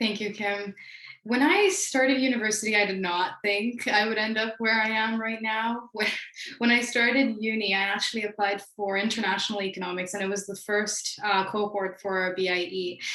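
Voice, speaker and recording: With noticeable background noise behind her, a fairly high-pitched woman talks at a moderate pace, her intonation fairly even. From Beijing, China. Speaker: panelist, former international student. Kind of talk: panel talk.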